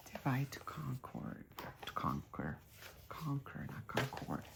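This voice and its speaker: The woman here is soft-spoken. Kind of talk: ASMR soft spoken magazine reading. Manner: soft-spoken, quiet.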